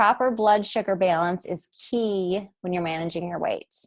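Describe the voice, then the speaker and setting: This woman has an unremarkable speaking voice at a medium pitch. Her pitch varies in an ordinary way. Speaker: essential oils educator. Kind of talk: webinar presentation. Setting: recorded webinar.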